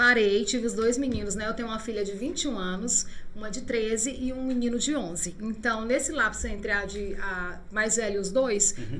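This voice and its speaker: A woman talks at a moderate pace with ordinary pitch variation, while noticeable background noise and audible room echo fill the recording. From interior of Pará, Brazil. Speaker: radio presenter and lawyer. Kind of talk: casual chat.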